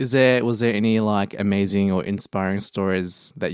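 In an Australian accent, a man speaks at a fairly low pitch with fairly even intonation. The recording is very clean and dry, close with no echo, over a silent background. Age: young. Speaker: podcast host. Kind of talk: casual chat.

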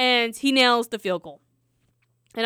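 A woman's high voice with a bright, sharp tone moves at a fairly quick pace, recorded very clean with a silent background and a dry, close sound with no echo. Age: 20s. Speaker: sports podcast co-host. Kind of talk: casual chat. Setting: in person, same room.

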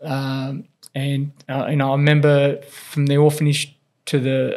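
A man with an Australian accent speaks at a medium pitch. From Australia, grew up in Whyalla, South Australia (born in Philippines). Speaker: strength and conditioning coach for elite tennis players. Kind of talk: interview, personal storytelling. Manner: hesitant, many fillers and repetitions.

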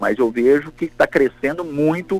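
A man at a fairly high pitch and moderate pace, dry, close sound with no echo. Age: 50s. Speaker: coffee farmer. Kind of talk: interview. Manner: halting, many fillers.

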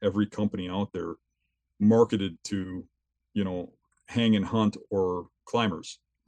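Fairly low male voice with fairly even intonation. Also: dry, close sound with no echo. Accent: Wisconsin. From southeastern Wisconsin. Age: 50s. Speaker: big game hunter and gear designer. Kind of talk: interview on hunting.

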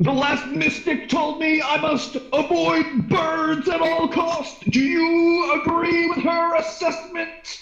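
In a put-on character voice, a man speaks at an extremely high pitch and a fairly slow pace with hardly any pauses, against a slight echo and light background noise. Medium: actual play. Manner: stilted, formal.

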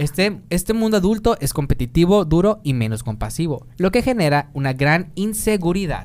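Barely pausing at a moderate pace, a man speaks at a high pitch with very wide pitch swings. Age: 20s. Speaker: podcast host. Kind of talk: casual chat; reading aloud.

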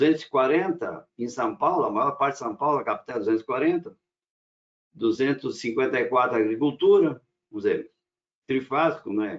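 Very slow delivery from a man, long pauses coming often. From Rio Grande do Sul, German colony area, Brazil. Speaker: power electronics engineer and company owner. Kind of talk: casual panel discussion.

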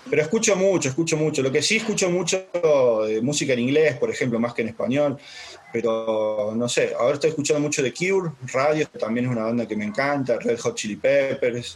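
Lively intonation with a slight Córdoba accent at a fairly quick pace, against noticeable background noise. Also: man, fairly high pitch for a man. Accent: slight Córdoba lilt. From Brazil, raised there from 4 to 16; born in Córdoba, Argentina. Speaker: life coach. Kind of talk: casual interview.

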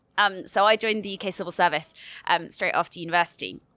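A woman with a British accent talks at a very fast pace. Her tone is bright and sharp. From United Kingdom. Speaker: youth climate organisation leader. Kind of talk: panel interview. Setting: studio.

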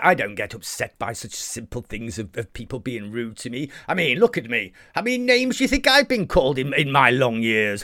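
A man's put-on character voice at medium pitch, moderate pace and with hardly any pauses. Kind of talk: comic monster voice. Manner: jovial, coaxing, friendly.

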